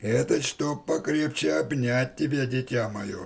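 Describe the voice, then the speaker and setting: Raspy and at a medium pitch, a man speaks in a cartoonish character voice at a moderate pace. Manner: sly, coaxing.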